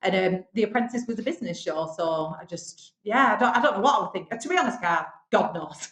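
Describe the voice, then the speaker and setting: A woman talks at a fairly quick pace, her pitch swinging very widely. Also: medium pitch for a woman. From northern England, Bolton. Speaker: business owner, television show finalist. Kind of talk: podcast interview.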